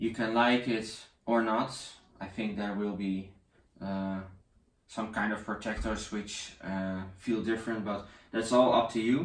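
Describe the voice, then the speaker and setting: With audible room echo, a man speaks at a fairly slow pace with fairly even intonation and long, frequent pauses. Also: fairly low pitch for a man. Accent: Dutch. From Netherlands. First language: Dutch. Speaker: tech reviewer. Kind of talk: product review. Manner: halting.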